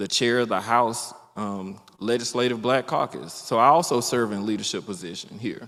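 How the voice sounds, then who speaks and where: A man speaks with an Alabama accent at a moderate pace. His intonation stays fairly even. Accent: US South (Alabama). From Alabama, Mobile County. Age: 40s. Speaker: politician, state legislator. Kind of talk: candidate forum speech. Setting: public forum with audience.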